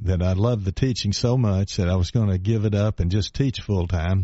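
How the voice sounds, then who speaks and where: A man with an East Tennessee accent speaks at a moderate pace in a fairly low voice with ordinary pitch variation. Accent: East Tennessee Southern. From East Tennessee, Knoxville. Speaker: retired congressman. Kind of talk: radio interview. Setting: radio studio.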